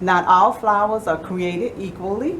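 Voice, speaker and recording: A woman's voice with ordinary pitch variation, amid audible room echo and noticeable background noise. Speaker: photography guild member presenting. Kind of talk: presentation to a small audience. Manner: fast.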